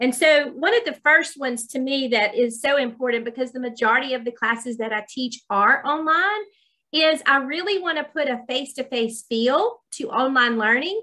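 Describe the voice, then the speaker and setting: A woman's raised, projected voice with a Southern US accent, high in pitch and bright and sharp in tone, with lively intonation at a moderate pace over a quiet background. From US South. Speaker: college dean. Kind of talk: webinar presentation. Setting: video call. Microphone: video call.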